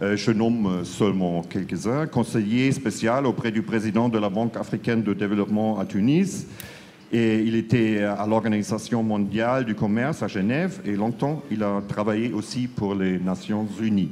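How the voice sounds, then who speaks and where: Through audible room echo, a man with a strong German accent and fairly low pitch speaks at a fairly slow pace with ordinary pitch variation. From Germany. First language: German (speaking French). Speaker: panel moderator, foreign newspaper correspondent. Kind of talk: panel debate moderation. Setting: stage with audience at conference. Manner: hesitant, many fillers.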